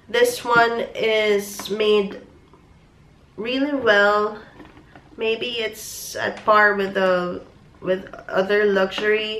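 Over noticeable background noise, a woman with a fairly high voice speaks at a very slow pace with fairly even intonation and long, frequent pauses. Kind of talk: casual product review to camera.

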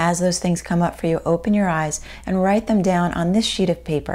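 In a warm tone, a woman with a fairly low pitch speaks at a moderate pace with fairly even intonation. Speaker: video host and life coach. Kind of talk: guided meditation and journaling exercise. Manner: warm and encouraging. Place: home room.

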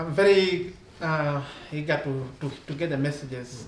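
A man, with audible room echo and light background noise around him. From Tanzania. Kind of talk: panel discussion. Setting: live-streamed gathering. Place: meeting room. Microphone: camera far.

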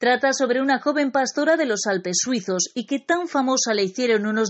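Delivered at a moderate pace, a plain, everyday voice carries lively intonation. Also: woman. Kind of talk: news-style narration.

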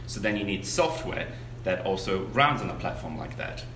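Music plays in the background. The room echo is audible. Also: man. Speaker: guest. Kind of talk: interview answer. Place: meeting room.

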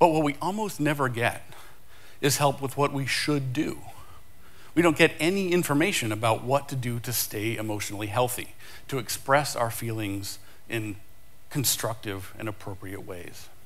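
The voice belongs to a man talking at a moderate pace. His intonation is lively. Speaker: conference speaker. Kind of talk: conference talk. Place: stage.

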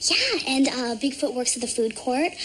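Against light background noise, a woman speaks with a high pitch. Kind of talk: scripted drama dialogue. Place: home room.

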